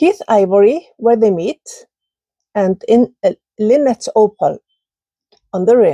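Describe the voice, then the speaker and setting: A woman's fairly high, dark, mellow voice in an Icelandic accent, at a very slow pace with lively intonation and a dry, close sound with no echo. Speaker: ceramic artist. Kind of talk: casual video talk, kiln reveal. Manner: halting.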